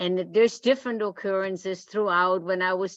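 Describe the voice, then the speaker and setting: A woman speaks with a non-native accent. Her pitch is medium and her pace moderate. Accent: foreign. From outside the US. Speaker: retired history teacher. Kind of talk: group discussion. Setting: video call.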